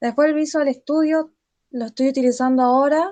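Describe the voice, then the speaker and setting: The speaker is a woman with a high pitch. She keeps her intonation fairly even. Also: quiet background. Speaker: student tutor leading a study group. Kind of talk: tutorial.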